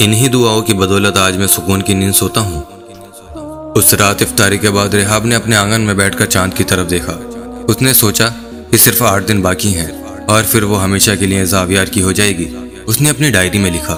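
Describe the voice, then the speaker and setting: A man speaks at a fairly low pitch with ordinary pitch variation. Music plays in the background. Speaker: voiceover artist. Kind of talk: serialized story narration.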